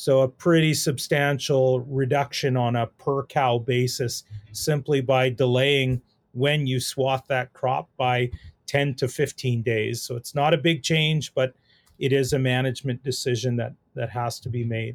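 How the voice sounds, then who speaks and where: Someone with a Canadian Prairie accent talks at a fairly slow pace in a monotone, flat intonation, with a dry, close sound and no echo. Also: man, medium pitch for a man. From Saskatchewan, Canada. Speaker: animal nutrition professor. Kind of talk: interview on research.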